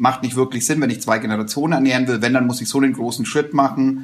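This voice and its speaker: With fairly even intonation, a man speaks at a medium pitch in a normal speaking voice. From rural Germany, small village. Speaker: social entrepreneurship network chairman. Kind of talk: interview conversation.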